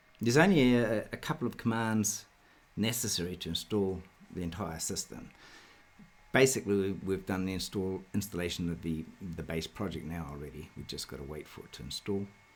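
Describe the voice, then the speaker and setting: The speaker talks at a fairly quick pace with a New Zealand accent. Loudness swings widely. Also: man, very deep, low pitch for a man, lively intonation. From New Zealand, South Auckland. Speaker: software developer; presenter. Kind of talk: tutorial. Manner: hesitant, many fillers. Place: home room.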